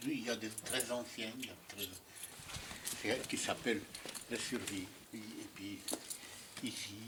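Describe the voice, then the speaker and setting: Fairly slow speech from a man, noticeable background noise underneath. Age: 90s. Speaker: sculptor and Holocaust survivor. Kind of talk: casual interview in studio. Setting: artist's workshop. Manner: halting, repeating words.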